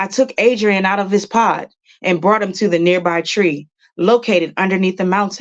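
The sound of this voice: An unforced reading voice with fairly even intonation, set against a quiet background.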